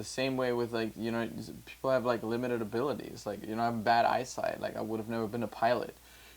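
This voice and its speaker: In a German accent, a man talks at a medium pitch with fairly even intonation. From Germany. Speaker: music producer and podcast host. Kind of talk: casual chat. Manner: halting.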